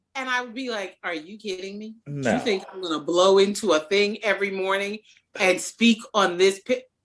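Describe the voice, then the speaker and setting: An ordinary speaking voice from a woman, medium in pitch, at a moderate pace with big swings in loudness. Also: ordinary pitch variation. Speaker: opera singer. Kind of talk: interview.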